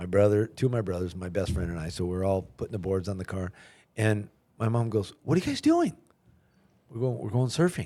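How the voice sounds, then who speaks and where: At a fairly quick pace broken by long, frequent pauses, a man speaks with a fairly low pitch, ordinary pitch variation and a dark, mellow tone. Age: 60s. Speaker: podcast host. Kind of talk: casual interview chat.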